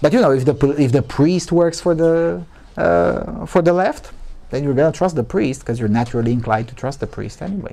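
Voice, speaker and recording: A dark, mellow tone in a Romanian accent, with very wide pitch swings. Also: man. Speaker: journalist, conference speaker. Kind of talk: conference Q&A answer. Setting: conference with live audience. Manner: halting, many false starts.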